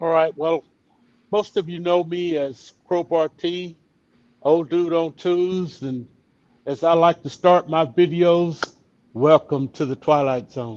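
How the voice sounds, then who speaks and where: A man's high voice in an East Texas accent, very slow, with ordinary pitch variation and a dry, close sound with no echo. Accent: East Texas Southern. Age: 70s. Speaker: retired motorcycle rider and vlogger. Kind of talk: casual interview chat.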